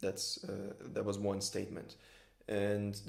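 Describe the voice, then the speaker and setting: A man speaks with a Brazilian accent. Room echo is audible. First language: Brazilian Portuguese. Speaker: filmmaker and workshop organizer. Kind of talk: conversational interview.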